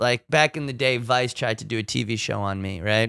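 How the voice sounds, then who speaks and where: A loud man speaks in a bright, sharp tone, recorded dry and close with no echo. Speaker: fashion designer and artist. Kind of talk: casual chat. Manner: animated.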